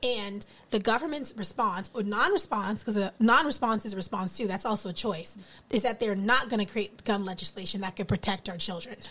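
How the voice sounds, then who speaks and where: In an American accent, a woman speaks at a fairly quick pace with a medium pitch and a bright, sharp tone. Pitch variation is ordinary, and the recording is very clean with a silent background. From US East Coast. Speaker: educator. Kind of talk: casual chat.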